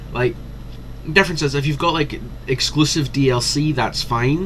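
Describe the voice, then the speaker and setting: With a Scottish accent, a man speaks at a moderate pace in an animated tone. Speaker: gaming commentator. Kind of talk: casual commentary.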